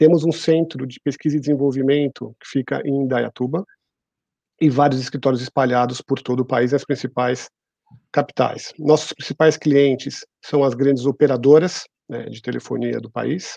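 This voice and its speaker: A man speaks at a medium pitch in a dark, mellow tone, with big swings in loudness. The sound is dry with no echo, over a quiet background. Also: fairly even intonation, moderate pace. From Brazil, São Paulo. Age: 40s. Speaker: HR executive; guest. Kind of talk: interview. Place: home room. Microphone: earbuds.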